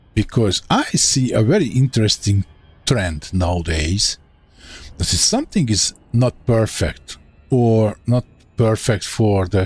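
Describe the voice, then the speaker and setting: With a Hungarian accent and a fairly low pitch, a man speaks at a fairly slow pace with long, frequent pauses, ordinary pitch variation and very even loudness, in a dry, close sound with no echo and music in the background. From Hungary. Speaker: gaming streamer. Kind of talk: live gameplay commentary. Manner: casual, thinking aloud.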